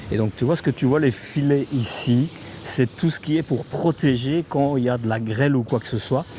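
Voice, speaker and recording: Against noticeable background noise, a man with a fairly high pitch talks at a moderate pace, his pitch varying in an ordinary way. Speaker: motorhome YouTuber. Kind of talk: casual chat with staff; factory tour vlog. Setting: factory site, partly outdoors. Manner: hesitant, many fillers.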